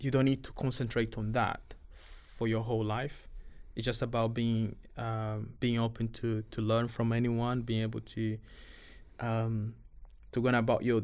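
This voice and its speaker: Speaking with a non-native accent, a man of medium pitch keeps a moderate pace with long, frequent pauses and monotone, flat intonation. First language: not English. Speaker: refugee youth boxing coach. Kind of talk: podcast interview. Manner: halting, with many repetitions and fillers.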